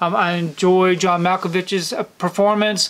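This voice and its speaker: This man's voice sits high in pitch, moving at a fairly slow pace with fairly even intonation. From US South, Georgia. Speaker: YouTuber, film collector; movie collector reviewer. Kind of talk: casual monthly film recap to camera. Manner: casual, frequent fillers (um). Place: home room.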